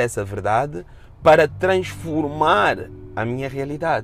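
In a European Portuguese accent, a man with a fairly high pitch and some vocal fry speaks fairly slowly in an animated tone, his pitch swinging very widely. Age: 40s. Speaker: podcast host. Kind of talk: personal monologue podcast.

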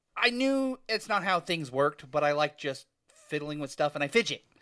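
Recorded very cleanly against a silent background with a dry, close sound and no echo, a man talks at a moderate pace in a fairly high pitch, with a bright, sharp, animated tone and lively intonation. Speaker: podcast co-host. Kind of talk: casual chat. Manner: joking, animated.

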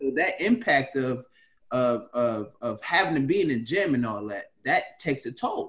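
Speaking at a moderate pace, a man with an unremarkable speaking voice talks at a fairly high pitch with lively intonation. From Washington DC area. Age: 30s. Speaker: podcast host, former basketball player. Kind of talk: casual chat.

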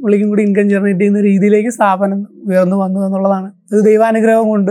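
The man's voice has a high pitch. His tone is dark and mellow. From Kerala, Alappuzha district (Cherthala). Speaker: business founder and CEO. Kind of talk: interview, personal life story.

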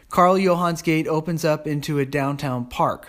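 A man's plain, everyday voice, fairly high in pitch, at a fairly slow pace, on a very clean recording with a silent background. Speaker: travel diarist. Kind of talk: reading aloud; casual chat.

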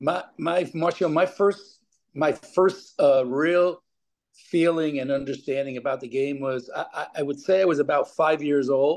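Speaking at a fairly slow pace with an American accent, a man has a plain, everyday voice, fairly high in pitch with ordinary pitch variation. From New York. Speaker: former pro soccer player and coach. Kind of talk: interview.

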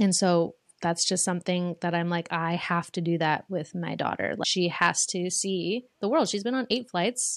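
Against a quiet background, a woman talks in a fairly low pitch at a moderate pace with hardly any pauses. She has an unremarkable speaking voice and ordinary pitch variation. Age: 20s. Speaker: social media manager and singer. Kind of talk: casual chat.

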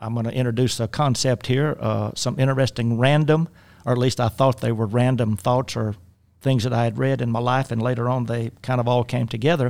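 The speaker has a South Louisiana accent and a moderate pace. The recording is very clean, with a silent background. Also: man. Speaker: life coach. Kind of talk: casual chat. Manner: halting.

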